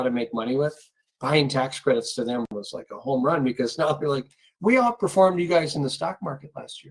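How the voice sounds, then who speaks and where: A fairly high-pitched man at a fairly quick pace. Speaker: tax attorney, webinar host. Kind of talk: webinar presentation. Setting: online webinar. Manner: fast.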